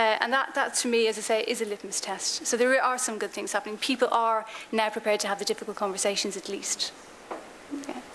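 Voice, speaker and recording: Speaking very fast with an Irish accent, a woman uses a fairly high pitch and fairly even intonation over noticeable background noise. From Ireland. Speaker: diversity consultant / conference speaker. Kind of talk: conference Q&A answer.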